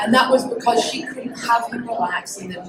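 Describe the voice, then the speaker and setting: Heard with audible room echo and noticeable background noise, a woman with a Scottish accent speaks at a high pitch and a moderate pace. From Scotland. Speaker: business and relationship coach, speaker. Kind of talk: public talk. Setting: stage with audience. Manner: animated.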